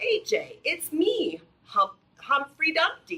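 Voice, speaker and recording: In a squeaky, put-on character voice at an extremely high pitch, the speaker goes at a very slow pace with very wide pitch swings. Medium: read story.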